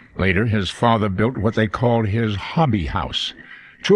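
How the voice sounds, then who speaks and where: At a moderate pace, a man talks in a plain, everyday voice, fairly low in pitch with ordinary pitch variation. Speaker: narrator. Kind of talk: documentary narration.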